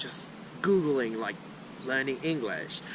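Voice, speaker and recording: With lively intonation and a moderate pace, a man talks amid audible room echo and noticeable background noise. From Brazil, Sao Paulo. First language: Portuguese. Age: 20s. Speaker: language learner, polyglot. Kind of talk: casual chat. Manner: halting, many fillers.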